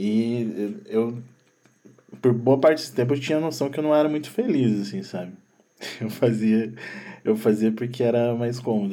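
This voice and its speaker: A man with a medium-pitched, dark and mellow voice talks at a fairly quick pace, with audible room echo. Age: 30s. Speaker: sound producer. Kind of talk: casual chat.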